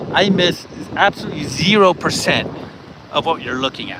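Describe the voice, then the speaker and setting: Over noticeable background noise, a man with an American accent talks at a moderate pace in a high pitch. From California, US. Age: 50s. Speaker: vlogger. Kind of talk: live stream chat. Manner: casual, laid-back.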